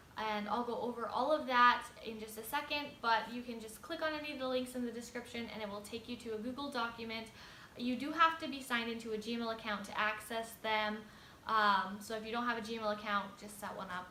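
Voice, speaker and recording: A woman speaks at a fairly quick pace and fairly high pitch, with fairly even intonation and big swings in loudness. Noticeable background noise and audible room echo are present. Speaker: lifestyle YouTuber. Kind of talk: tutorial. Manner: fast.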